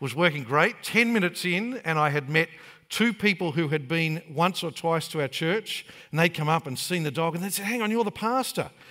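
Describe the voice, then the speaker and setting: At a fairly quick pace, a man speaks in a high, bright and sharp voice with lively intonation, captured on a very clean recording with a silent background. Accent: Australian. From Australia (Queensland, Brisbane area). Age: 40s. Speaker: pastor. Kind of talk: sermon.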